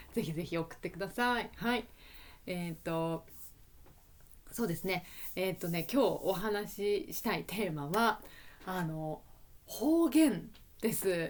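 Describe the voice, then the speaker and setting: With lively intonation, a woman talks at a fairly slow pace, leaving long, frequent pauses. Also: medium pitch for a woman. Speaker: Japanese language teacher. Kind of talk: educational podcast, casual talk. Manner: relaxed, conversational.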